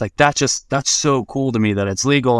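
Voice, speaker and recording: An ordinary speaking voice belongs to a man who talks at a fairly quick pace with ordinary pitch variation, recorded very clean with a silent background and a dry, close sound with no echo. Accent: American. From Florida, US. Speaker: cannabis and crypto professional. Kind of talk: casual interview chat.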